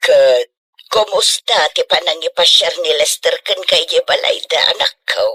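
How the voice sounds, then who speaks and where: Putting on a character voice, a woman speaks at an extremely high pitch in a monotone, flat delivery with very even loudness. The pace is fairly slow, and the sound is dry and close with no echo. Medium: audio drama. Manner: motherly.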